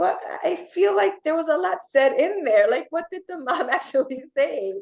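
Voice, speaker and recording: At a moderate pace, a woman with a Spanish accent speaks at an extremely high pitch, her voice swinging very widely. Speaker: occupational therapist. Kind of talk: podcast interview.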